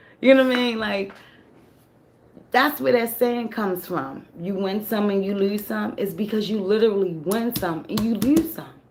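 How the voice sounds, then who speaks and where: The intonation is lively. Room echo can be heard. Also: woman. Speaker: tarot reader. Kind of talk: tarot reading monologue.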